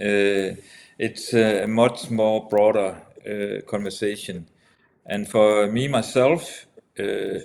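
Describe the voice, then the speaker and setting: This man speaks with a Danish accent at a fairly low pitch. His pace is very slow. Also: fairly even intonation. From Denmark. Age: 70s. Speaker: entrepreneur, former politician. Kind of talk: casual discussion. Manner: halting.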